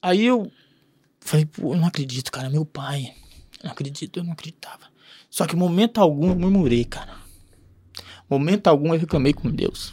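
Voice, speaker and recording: A man with a dark, mellow tone and fairly high pitch talks with big swings in loudness and long, frequent pauses, the sound dry and close with no echo. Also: ordinary pitch variation, moderate pace. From Paraná, Brazil. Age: 30s. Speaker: entrepreneur. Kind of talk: casual interview storytelling.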